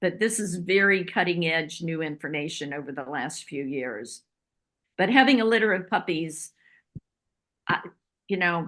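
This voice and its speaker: Against a quiet background, a woman speaks at a fairly slow pace with very wide pitch swings and long, frequent pauses. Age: 70s. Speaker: holistic veterinarian. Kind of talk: Q&A advice session.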